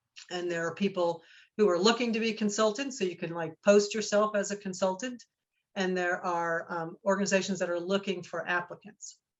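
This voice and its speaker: A woman talks at a fairly quick pace with a Northeastern US accent. Her pitch is medium, and her intonation is fairly even. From New Jersey. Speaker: research center director. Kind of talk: guest talk Q&A.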